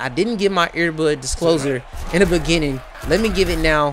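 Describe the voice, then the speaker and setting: Noticeable background noise accompanies a man speaking in an animated tone. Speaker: sports play-by-play commentator. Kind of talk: live commentary. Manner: loud.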